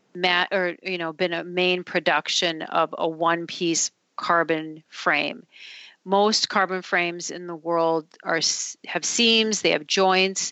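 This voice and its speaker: Speaking at a fairly slow pace with an Upper Midwest accent, a woman uses a fairly low pitch and fairly even intonation. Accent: Upper Midwest American. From Minnesota, Duluth. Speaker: company CEO. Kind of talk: interview.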